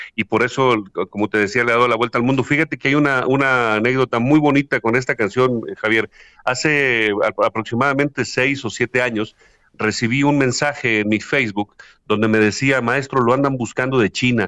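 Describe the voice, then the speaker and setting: Speaking at a fairly quick pace, a man has a bright, sharp tone. His pitch is medium and his intonation fairly even. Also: very even loudness. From Mexico, Huasteca region of Hidalgo. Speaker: singer-songwriter. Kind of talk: interview. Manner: halting with many fillers.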